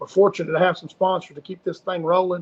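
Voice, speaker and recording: A man with a high voice speaks in a Southern US accent, the sound dry and close with no echo. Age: 50s. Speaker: fishing guide and livestream host. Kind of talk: casual livestream chat. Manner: animated.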